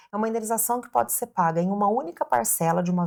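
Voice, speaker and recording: Woman at medium pitch with very wide pitch swings, very clean recording with a silent background. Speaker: family lawyer. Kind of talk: legal explainer video. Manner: clear and simple.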